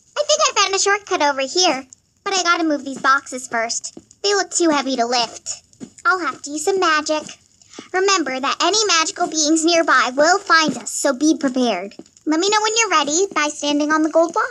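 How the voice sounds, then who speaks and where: A put-on character voice runs at a fairly quick pace with a high pitch. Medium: machinima. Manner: eager, fretful.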